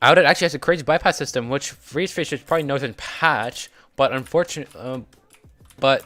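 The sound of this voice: Faint music plays behind a man talking at a fairly quick pace. His voice is medium in pitch, bright and sharp in tone, with ordinary pitch variation.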